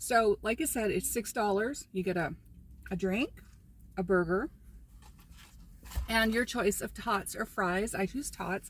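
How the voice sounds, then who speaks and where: A woman with a medium pitch speaks with vocal fry. Her pauses are long and frequent. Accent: American. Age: 60s. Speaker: lifestyle vlogger. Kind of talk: casual vlog talk. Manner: casual, chatty with fillers.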